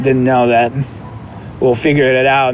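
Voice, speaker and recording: The speaker's intonation is monotone and flat, and there is noticeable background noise. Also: man. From Moscow, Russia. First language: Russian. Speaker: vintage clothing seller. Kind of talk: casual interview chat.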